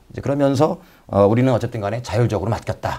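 A man talks at a very fast pace in a dark, mellow tone with vocal fry. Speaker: political commentator guest. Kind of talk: talk show commentary. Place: studio. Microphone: lapel.

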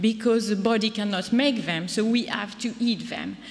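A woman with a fairly high pitch talks at a moderate pace against noticeable background noise. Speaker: neuroscientist. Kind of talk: conference presentation. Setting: stage with audience.

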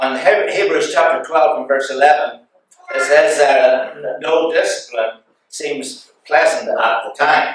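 A man speaks at a very slow pace. Strong room echo surrounds his voice. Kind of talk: sermon. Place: church.

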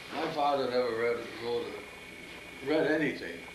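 A man's fairly high voice in an American accent, with ordinary pitch variation and noticeable background noise. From US Midwest. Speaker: grandfather telling life story. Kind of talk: interview answer. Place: home room. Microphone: old recording.

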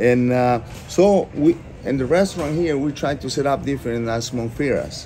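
With a Spanish accent, a man speaks at a moderate pace with lively intonation while light background noise plays behind him. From Costa Rica. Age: 50s. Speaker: restaurant owner. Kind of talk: interview. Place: cafe. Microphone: phone near.

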